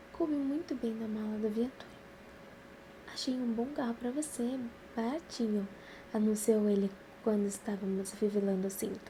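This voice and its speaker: A woman speaks at a moderate pace in a fairly high pitch, with ordinary pitch variation and long, frequent pauses. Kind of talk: novel reading.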